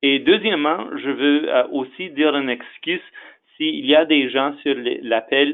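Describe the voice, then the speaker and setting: A man with an English accent talks at a very slow pace. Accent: English-speaker accent in French. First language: English (speaking French). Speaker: executive director of an association. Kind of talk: webinar presentation. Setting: webinar. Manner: halting, many fillers.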